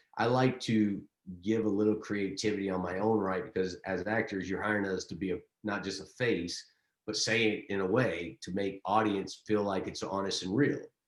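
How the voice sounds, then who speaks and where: With a Texas accent, a fairly low-pitched man talks at a moderate pace with fairly even intonation. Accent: Southern US (Texas). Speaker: actor and director. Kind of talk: interview. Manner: halting, repeats words.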